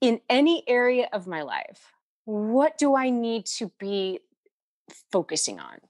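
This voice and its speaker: On a very clean recording with a silent background and a dry, close sound with no echo, a speaker with an American accent talks at a fairly slow pace with very wide pitch swings. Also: woman, fairly high pitch for a woman. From Ohio, US Midwest. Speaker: life coach. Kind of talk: interview.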